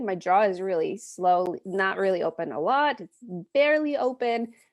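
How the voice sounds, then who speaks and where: Lively intonation marks this woman's speech. She talks at a very slow pace. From Poland. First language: Polish. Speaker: accent coach, speech-language pathologist. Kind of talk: pronunciation lesson.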